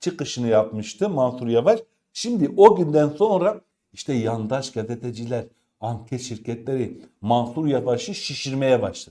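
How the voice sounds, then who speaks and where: A man speaks at a fairly slow pace in a medium-pitched voice with a dark, mellow tone and lively intonation. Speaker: political commentary YouTuber. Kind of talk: news commentary monologue.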